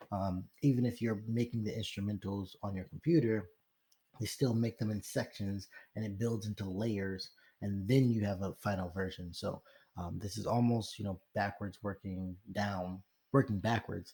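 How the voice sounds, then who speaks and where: Somewhat breathy and dark, mellow in tone, a man speaks at a moderate pace with a fairly low pitch and fairly even intonation. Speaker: rapper. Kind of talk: tutorial. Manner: hesitant, many fillers.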